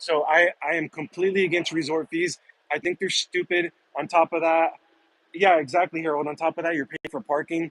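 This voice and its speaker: A man with an American accent speaks at a very fast pace with fairly even intonation. The sound is dry and close, with no echo. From Southern California. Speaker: live streamer and bartender. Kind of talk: live stream chat reading viewer comments. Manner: casual, relaxed.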